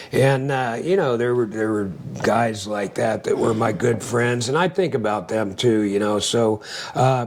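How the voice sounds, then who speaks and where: Noticeable background noise sits behind a man talking at a fairly slow pace, his medium-pitched voice showing ordinary pitch variation. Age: 60s. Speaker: Navy veteran and angler. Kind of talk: casual chat. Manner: hesitant, many filler words.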